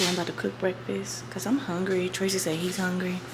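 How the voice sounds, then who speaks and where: A woman whispering at a moderate pace, with audible room echo and noticeable background noise. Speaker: lifestyle vlogger. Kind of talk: casual vlog narration. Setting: at home.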